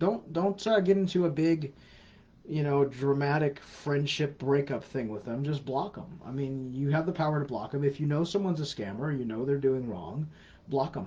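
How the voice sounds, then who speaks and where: With a dark, mellow tone and a somewhat breathy quality, a man speaks at a moderate pace. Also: fairly high pitch for a man, ordinary pitch variation. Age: 40s. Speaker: scam awareness educator. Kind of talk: live Q&A answering viewer questions. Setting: live stream on social media. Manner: casual, repetitive emphatic advice.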